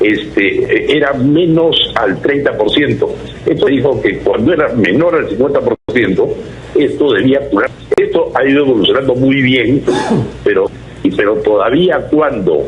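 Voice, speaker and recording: Amid noticeable background noise and audible room echo, a man speaks at a very even loudness. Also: fairly slow pace. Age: 70s. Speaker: caller. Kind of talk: call-in question to radio/TV show. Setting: phone call. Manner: halting.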